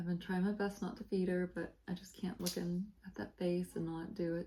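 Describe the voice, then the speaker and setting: Fairly low in pitch, a woman's somewhat breathy voice has a dark, mellow tone, fairly even intonation and a fairly quick pace. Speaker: cross-stitch video blogger. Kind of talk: casual chat. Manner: soft-spoken.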